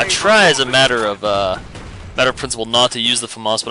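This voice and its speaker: Over noticeable background noise, a man talks at a very fast pace and medium pitch with fairly even intonation. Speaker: gaming commentator. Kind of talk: gameplay commentary. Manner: casual, filler-heavy; stuttering.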